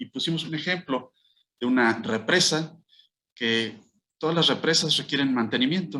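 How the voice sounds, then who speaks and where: At a fairly high pitch, a man with a bright, sharp tone speaks at a moderate pace, with ordinary pitch variation and long, frequent pauses. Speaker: law professor, interviewed guest. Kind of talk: radio interview answer, legal explanation.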